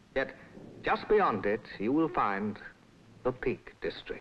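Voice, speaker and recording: A man talks at a very slow pace with very wide pitch swings. Light background noise sits behind him. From England. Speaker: narrator. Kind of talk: documentary film narration. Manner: soothing. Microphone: old recording.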